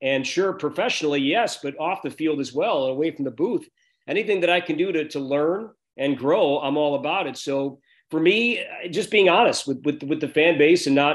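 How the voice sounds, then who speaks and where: Against a quiet background, a man with an American accent and a fairly high pitch talks at a moderate pace with ordinary pitch variation in a plain, everyday voice. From Chicago northern suburbs, US Midwest; Illinois. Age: 40s. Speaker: baseball play-by-play broadcaster; sports radio broadcaster. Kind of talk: interview. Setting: video call. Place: home room. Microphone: video call.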